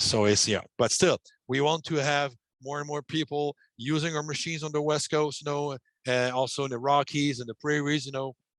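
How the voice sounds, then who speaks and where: A man's fairly high voice with a French accent, fairly even intonation and a fairly quick pace over a quiet background. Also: dry sound with no echo. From Quebec. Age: 50s. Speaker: ventilation manufacturer executive. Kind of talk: webinar presentation and Q&A; interview answer. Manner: halting, many fillers. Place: home room. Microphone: headset.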